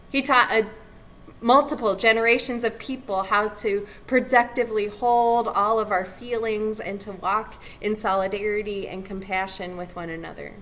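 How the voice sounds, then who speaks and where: In an American accent, a woman with an unremarkable speaking voice and fairly high pitch speaks at a moderate pace, her intonation fairly even but her loudness swinging widely. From California. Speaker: pastor. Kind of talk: invocation address.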